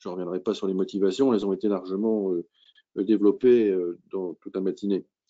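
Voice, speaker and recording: A man is speaking. His tone is dark and mellow. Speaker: maritime cybersecurity association head. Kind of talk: webinar presentation. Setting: video call. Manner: halting. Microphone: poor connection.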